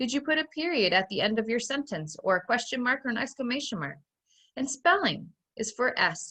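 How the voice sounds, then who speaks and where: With a bright, sharp tone and fairly high pitch, a woman speaks with vocal fry and very wide pitch swings. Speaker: first grade teacher. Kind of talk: online phonics lesson for young children.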